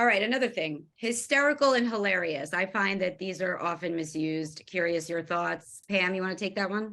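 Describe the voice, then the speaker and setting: A woman with a Long Island accent talks at a fairly quick pace and medium pitch, her tone bright and sharp and her intonation lively. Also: hardly any pauses. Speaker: event host, journalist. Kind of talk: panel discussion.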